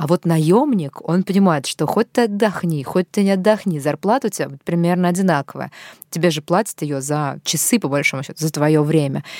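Woman with an unremarkable speaking voice, fairly low pitch, ordinary pitch variation and moderate pace, in a dry, close sound with no echo, on a very clean recording with a silent background. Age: 30s. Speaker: podcast host. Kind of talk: interview.

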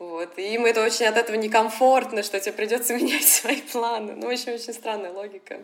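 A woman with a fairly high voice talks at a fairly quick pace with fairly even intonation, with noticeable background noise behind her. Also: hardly any pauses. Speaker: advertising sales professional. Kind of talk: interview.

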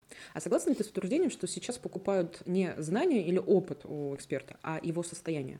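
A woman's unremarkable speaking voice, fairly low in pitch, at a fairly quick pace. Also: ordinary pitch variation. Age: 30s. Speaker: podcast host. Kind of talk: casual chat.

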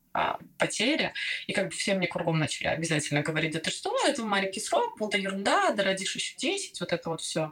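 Noticeable background noise sits behind a woman who talks very fast. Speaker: former doctor and new mother of twins. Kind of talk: personal testimony in casual interview. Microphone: poor recording, interference, re-recorded on other mic.

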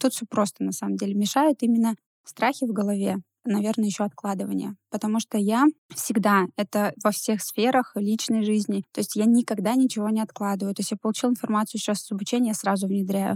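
Fairly high-pitched and somewhat breathy, a woman talks at a fairly quick pace with fairly even intonation. The sound is dry and close with no echo, on a very clean recording with a silent background. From Russia, Ivanovo. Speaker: entrepreneur. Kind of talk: interview. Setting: studio.

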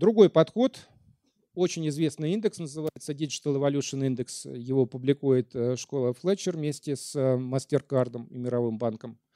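A man with a dark, mellow tone and fairly high pitch for a man speaks at a moderate pace with ordinary pitch variation and big swings in loudness, in a dry, close sound with no echo. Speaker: lecturer. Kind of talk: lecture. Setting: stage with audience.

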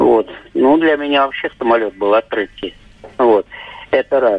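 Noticeable background noise accompanies a man whose pitch sits fairly high. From Moscow. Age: 50s. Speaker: caller. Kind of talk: phone-in storytelling. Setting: phone call.

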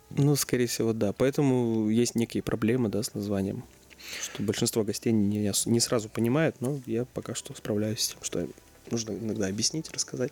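Noticeable background noise sits behind a man who speaks at a moderate pace with fairly even intonation. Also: medium pitch for a man. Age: 20s. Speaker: restaurant co-founder. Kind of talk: interview.

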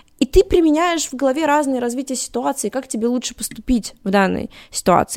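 The speech has lively intonation. There is no echo, and the sound is dry and close. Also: woman. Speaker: cosplayer and tabletop gamer. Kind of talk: casual chat. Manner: articulate.

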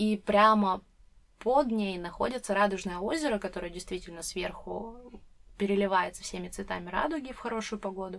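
This woman has a normal speaking voice, pitched in the medium range and moving at a moderate pace. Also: ordinary pitch variation. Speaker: podcast host. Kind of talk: casual chat.

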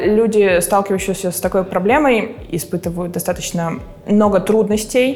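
Moderately paced speech from a woman, medium in pitch, ordinary in pitch variation, over noticeable background noise. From Russia, Murmansk region. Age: 20s. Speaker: materials scientist. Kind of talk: interview.

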